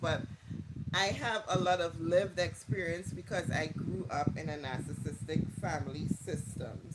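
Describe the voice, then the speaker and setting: Amid noticeable background noise, a man with a Trinidadian accent talks at a fairly high pitch with lively intonation. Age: 40s. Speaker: livestreamer on narcissism. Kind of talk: casual live chat.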